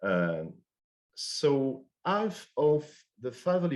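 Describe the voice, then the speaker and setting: This is a man speaking. He has a French accent. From France. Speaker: finance professor. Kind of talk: conference presentation. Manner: halting, many fillers and restarts.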